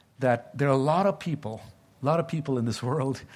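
Somewhat breathy speech with a Tamil accent and ordinary pitch variation, on a very clean recording with a silent background. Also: man. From India (Tamil-speaking). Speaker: pastor. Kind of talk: sermon. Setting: church. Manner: halting.

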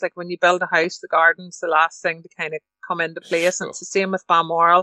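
A woman speaks at a medium pitch with a Northern Irish accent. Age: 50s. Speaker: livestock show council member and estate agent. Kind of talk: interview.

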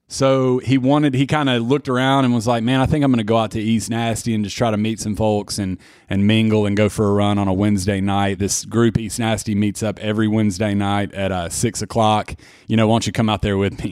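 A man with a fairly low pitch and a Tennessee accent, talking at a very fast pace. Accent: Tennessee Southern US. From Murfreesboro, Tennessee. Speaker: ultramarathon runner guest. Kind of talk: casual conversational interview. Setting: studio. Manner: talkative, animated storyteller.

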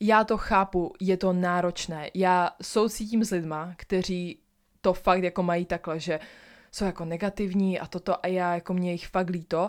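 Over a very clean recording with a silent background, a woman speaks in an ordinary speaking voice. Her pitch is medium, her intonation fairly even, and her pace moderate. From Ostrava, Czech Republic. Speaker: podcaster. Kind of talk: affirmation pep talk. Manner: warm, earnest and encouraging, repeating short affirmations directly to the listener.

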